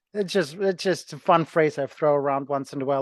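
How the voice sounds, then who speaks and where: In a Ukrainian accent, a man talks at a fairly quick pace with fairly even intonation and a fairly high pitch. The sound is dry and close with no echo, against a quiet background. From Ukraine. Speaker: personal trainer and gym owner. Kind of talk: interview.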